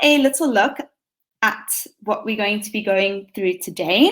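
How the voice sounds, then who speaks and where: In a South African accent, a woman speaks at a fairly slow pace with a fairly high pitch and very wide pitch swings, in a very clean recording with a silent background. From South Africa, Western Cape (Hermanus). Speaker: teacher. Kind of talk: conference presentation.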